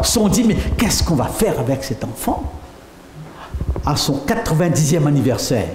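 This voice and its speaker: Against noticeable background noise and audible room echo, a man speaks with very wide pitch swings. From France. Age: 70s. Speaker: pastor. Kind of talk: sermon.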